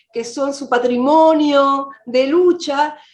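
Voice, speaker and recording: A woman speaks with a Rioplatense accent. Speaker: film director. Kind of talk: interview.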